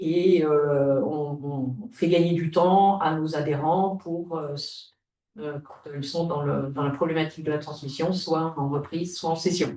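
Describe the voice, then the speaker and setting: This woman's voice sits very deep and low. She speaks at a very slow pace with fairly even intonation. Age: 60s. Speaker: retired business owner, transfer association volunteer. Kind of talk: webinar panel talk. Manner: halting, many hesitations.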